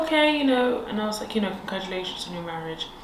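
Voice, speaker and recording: Through noticeable background noise and audible room echo, a woman with a London accent speaks at a very fast pace. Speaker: podcast co-host. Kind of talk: casual chat.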